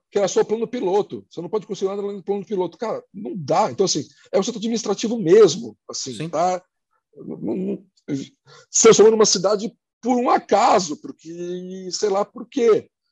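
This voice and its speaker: A man's high-pitched voice in a dry, close sound with no echo. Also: ordinary pitch variation, moderate pace, big swings in loudness. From Brazil, Santos (São Paulo coast). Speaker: place branding consultant. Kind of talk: casual chat.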